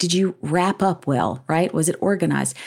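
A woman with a Southern US accent, fairly low in pitch, at a moderate pace, in a very clean recording with a silent background. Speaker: business school educator and author. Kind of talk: interview conversation.

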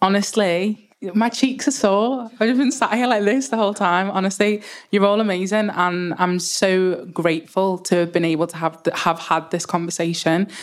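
A woman's medium-pitched voice with a Liverpool accent and ordinary pitch variation. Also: moderate pace. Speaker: panel moderator. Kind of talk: panel moderation.

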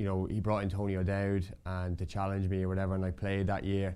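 Someone with an Irish accent talks at a fairly quick pace in a dark, mellow tone. The recording is very clean, with a silent background. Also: man. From Ireland, County Meath. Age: 40s. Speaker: retired footballer. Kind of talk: casual interview.

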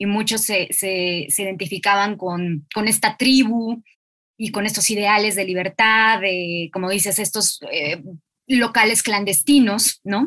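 The voice is a woman's with a bright, sharp tone. She speaks at a fairly slow pace. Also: medium pitch for a woman, ordinary pitch variation. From Mexico, Mexico City. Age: 30s. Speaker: literary podcast host. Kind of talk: interview conversation.

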